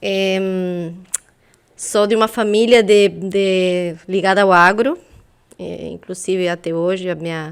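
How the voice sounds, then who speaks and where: A woman with a Uruguayan accent, a medium pitch, a very slow pace, and fairly even intonation. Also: big swings in loudness. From Uruguay, south (Soriano, near Colonia). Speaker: intellectual property specialist. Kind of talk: interview.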